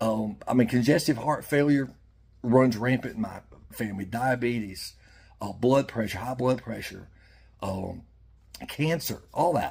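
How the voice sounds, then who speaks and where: Somewhat breathy and at a medium pitch, a man talks at a fairly slow pace with ordinary pitch variation and long, frequent pauses. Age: 60s. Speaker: fishing YouTuber. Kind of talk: heartfelt monologue. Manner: halting.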